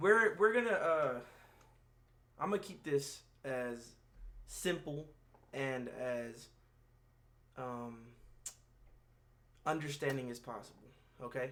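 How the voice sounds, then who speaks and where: Speaking at a very slow pace with long, frequent pauses, a man with a fairly high pitch and a bright, sharp tone uses lively intonation and big swings in loudness. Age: 20s. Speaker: vlogger. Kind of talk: personal vlog monologue. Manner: halting, many fillers and repeats.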